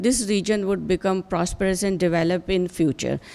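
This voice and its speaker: Against noticeable background noise, a woman speaks at medium pitch and a moderate pace. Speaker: professor. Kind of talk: conference speech. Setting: conference hall. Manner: halting, many fillers.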